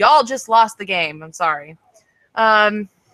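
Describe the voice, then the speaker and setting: A woman with a fairly high, bright and sharp voice sounds animated, her intonation lively. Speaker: online show co-host and singer. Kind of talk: casual chat. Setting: video call livestream. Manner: loud.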